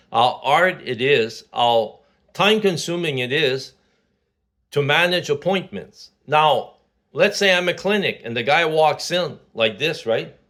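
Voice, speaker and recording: A man with a Quebec accent talks at a fairly slow pace in a fairly high pitch, his tone bright and sharp and his intonation lively, on a very clean recording with a silent background. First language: French. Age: 60s. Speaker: vlogger. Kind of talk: casual monologue. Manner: halting, many fillers.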